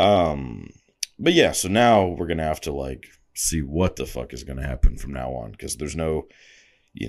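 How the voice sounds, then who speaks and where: Vocal fry in a man's very deep, low voice, lively in intonation, at a moderate pace. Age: 20s. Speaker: podcast host. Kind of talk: casual monologue. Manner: casual with many filler words.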